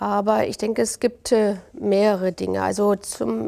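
In a quiet setting, a woman talks fairly slowly, her fairly high voice carrying a dark, mellow tone. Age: 60s. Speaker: mayor; city mayor. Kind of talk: interview. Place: studio. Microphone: lapel.

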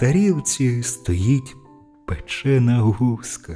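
A man at medium pitch, very slow pace, calm tone and lively intonation, with music in the background. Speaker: professional narrator. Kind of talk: fairy tale reading.

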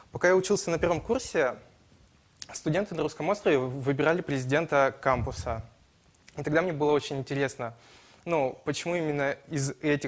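With ordinary pitch variation, a man talks at a moderate pace. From Ussuriysk, Primorsky Krai; Primorsky Krai. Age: 20s. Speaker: student, election candidate; election candidate. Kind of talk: political debate. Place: studio. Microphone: lapel.

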